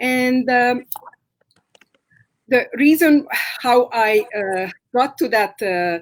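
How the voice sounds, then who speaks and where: In a Hungarian accent, a woman with a high pitch speaks at a very slow pace, with lively intonation and long, frequent pauses. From Romania, Hungarian-speaking. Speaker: massage therapist. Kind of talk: interview. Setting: live stream. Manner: halting.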